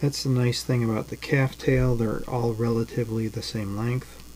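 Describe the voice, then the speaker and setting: At a moderate pace, a man talks in a relaxed tone with fairly even intonation over light background noise. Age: 50s. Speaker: jig tier and fishing lure maker. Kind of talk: live-stream tutorial. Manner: halting, many fillers; relaxed, conversational. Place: home room.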